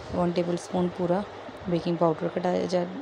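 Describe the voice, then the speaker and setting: A soft-spoken woman at a medium pitch talks at a fairly slow pace over noticeable background noise. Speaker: cooking channel host. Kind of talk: cooking tutorial. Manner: hesitant with fillers.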